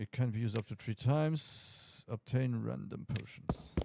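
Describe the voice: Someone reads aloud plainly. Pitch moves up and down in an ordinary way.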